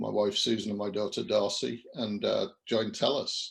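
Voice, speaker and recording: A man with a British accent. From English Midlands, near Birmingham. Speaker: company CEO. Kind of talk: interview.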